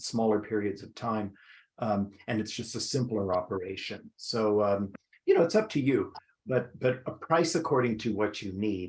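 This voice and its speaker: On a very clean recording with a silent background, a somewhat breathy voice moves at a moderate pace with ordinary pitch variation. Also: man. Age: 70s. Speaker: esthetician and trainer. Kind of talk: interview on skincare business. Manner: halting, many fillers.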